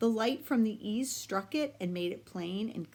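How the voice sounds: Natural voice reading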